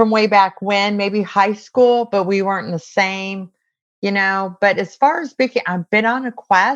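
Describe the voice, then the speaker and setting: An ordinary speaking voice from a woman with an American accent, medium-pitched, over a quiet background. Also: ordinary pitch variation, fairly slow pace. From US West Coast (San Diego, California). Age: 60s. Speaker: Navy veteran. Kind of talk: interview.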